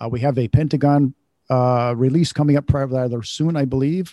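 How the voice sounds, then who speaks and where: Against a quiet background, a man at a medium pitch speaks at a fairly quick pace with fairly even intonation. His tone is dark and mellow, and the sound is dry and close with no echo. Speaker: co-host interviewer. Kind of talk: interview questions.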